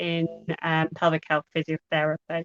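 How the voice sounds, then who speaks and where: The sound is dry and close, with no echo. A woman speaks in an Irish accent at a fairly low pitch. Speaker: pelvic health physiotherapist. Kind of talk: podcast interview. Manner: deliberately slowed down.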